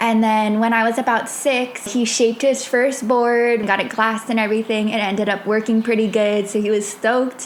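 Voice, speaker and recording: Over noticeable background noise, a woman with a fairly high voice talks at a moderate pace in a monotone, flat intonation. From Hawaii (Wahiawa, Oahu). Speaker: podcast host. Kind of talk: casual monologue. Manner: casual, filler-heavy.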